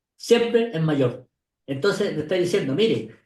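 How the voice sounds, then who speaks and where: A man's high voice at a fairly quick pace, full of very wide pitch swings. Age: 70s. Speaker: retired pension industry expert. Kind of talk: interview conversation.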